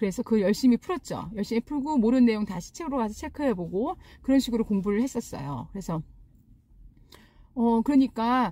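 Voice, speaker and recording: At a fairly quick pace, a woman with an unremarkable speaking voice talks at a fairly high pitch with lively intonation. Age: 40s. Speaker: real estate agent. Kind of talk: casual talk to camera.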